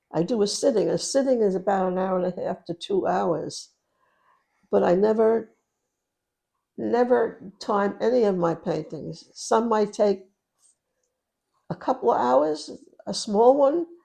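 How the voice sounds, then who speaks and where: With vocal fry and a dark, mellow tone, a woman speaks at a medium pitch and a fairly slow pace, her intonation lively and her pauses long and frequent. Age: 80s+. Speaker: painter. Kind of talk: interview answer.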